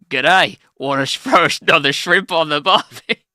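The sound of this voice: A man puts on a character voice in an Australian accent, pitched fairly high. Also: moderate pace.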